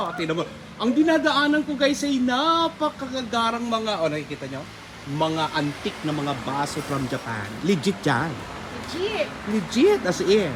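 With music in the background, a man speaks at a fairly slow pace in an animated tone, his high voice making very wide pitch swings. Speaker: vlogger. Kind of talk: street pitchman-style sales pitch, shop walkthrough vlog. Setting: inside a shop, on location. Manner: animated, excitable, hyping items with exclamations.

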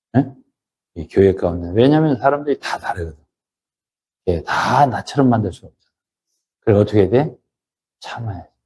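A man speaks at a medium pitch with a dark, mellow tone and a somewhat breathy quality. His loudness swings widely, and he leaves long, frequent pauses. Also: lively intonation. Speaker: pastor. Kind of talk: sermon. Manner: conversational, emphatic.

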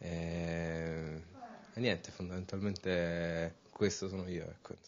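A man with a very deep, low voice speaks at a very slow pace over light background noise. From Rome, Italy; Italy. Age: 20s. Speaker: urban artist; interviewee. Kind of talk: interview. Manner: hesitant, with fillers. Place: hall. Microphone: handheld.

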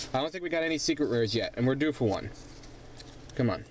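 A man with a fairly high voice is heard in a dry sound with no echo and light background noise. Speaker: gaming YouTuber. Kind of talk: card pack opening video. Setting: home recording with camera. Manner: animated. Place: home room. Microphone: phone near.

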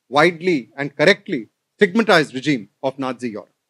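With lively intonation and a fairly quick pace, a man talks over a quiet background. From India (Delhi). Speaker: professor. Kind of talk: lecture. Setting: stage with audience. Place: hall. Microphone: podium.

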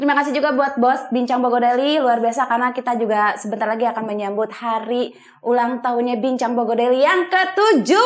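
Against a quiet background, a woman speaks high-pitched and animated at a very fast pace with hardly any pauses and ordinary pitch variation. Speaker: talk show host. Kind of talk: interview; interview questions and show hosting. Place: studio.

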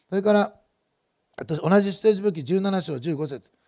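A man speaks in a high voice with a dark, mellow tone against a quiet background. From Japan. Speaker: pastor. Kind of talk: sermon. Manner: fast. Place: church. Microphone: headset.

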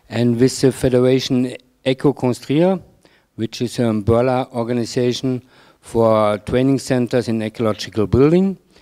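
The voice has a German accent and a dark, mellow tone. It moves at a moderate pace over a quiet background. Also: man, ordinary pitch variation. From Germany. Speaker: ecological building training organizer; presenter. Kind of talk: conference presentation. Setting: stage with audience. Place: hall. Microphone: handheld.

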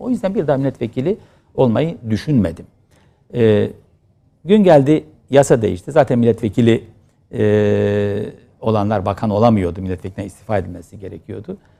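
At a moderate pace, the voice has vocal fry, a dark, mellow tone and lively intonation. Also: man, fairly low pitch for a man. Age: 50s. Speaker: politician, former member of parliament. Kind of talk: interview.

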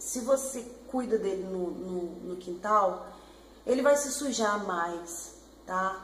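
With lively intonation, a woman speaks over light background noise, and the room's echo is audible. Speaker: pet vlogger. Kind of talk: casual vlog chat. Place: home room. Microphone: webcam.

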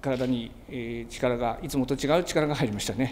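Light background noise sits behind a man's voice. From Tsugaru, Aomori, Japan. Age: 60s. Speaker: nebuta float maker. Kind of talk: interview answer. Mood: humble, moved. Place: workshop.

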